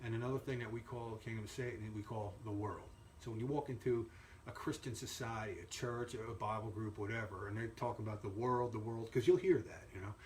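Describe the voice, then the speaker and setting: A man speaks at a fairly quick pace in a medium pitch with fairly even intonation, over noticeable background noise. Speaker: Bible teacher. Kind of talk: Bible lesson; casual sign-off. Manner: halting, many fillers.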